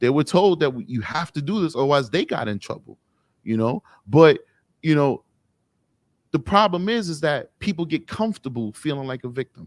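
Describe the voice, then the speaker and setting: A man with a New York accent speaks at a moderate pace in a fairly high voice, with lively intonation and long, frequent pauses. The recording is very clean, dry and close, with no echo and a silent background. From New York City, Harlem. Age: 30s. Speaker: police officer. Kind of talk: casual interview chat.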